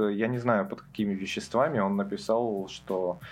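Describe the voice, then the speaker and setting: Heard in a very clean recording with a silent background, a man uses a normal speaking voice at a medium pitch, a fairly slow pace and ordinary pitch variation. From Russia, Karelia (Petrozavodsk). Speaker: music expert. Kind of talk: casual chat.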